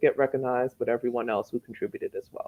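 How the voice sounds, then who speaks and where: This woman's voice sits at a very deep, low pitch. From child of immigrants, raised in the US. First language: not English. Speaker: author and teacher. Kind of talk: interview. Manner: conversational, many filler words.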